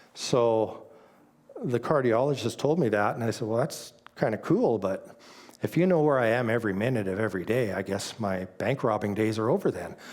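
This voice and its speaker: A normal speaking voice with a Canadian accent moves at a fairly quick pace. The pitch varies an ordinary amount. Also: man, medium pitch for a man. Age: 60s. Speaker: church speaker sharing testimony. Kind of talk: testimony.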